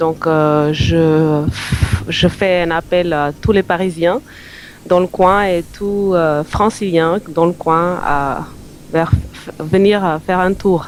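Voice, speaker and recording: A woman's fairly low pitch, fairly even intonation, and very slow pace, over noticeable background noise. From North Macedonia. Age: 30s. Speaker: singer-songwriter. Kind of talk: radio interview. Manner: halting.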